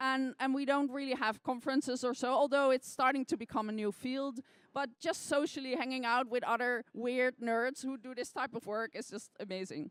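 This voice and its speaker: With a non-native accent, a woman talks at a moderate pace in a high voice, with fairly even intonation, hardly any pauses and a dry, close sound with no echo. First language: not English. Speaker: scientist and science sleuth. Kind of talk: interview. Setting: stage with audience.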